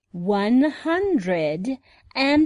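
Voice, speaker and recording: A woman puts on a character voice with a high pitch. Her pitch swings are very wide. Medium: audio drama. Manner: anxious, urgent.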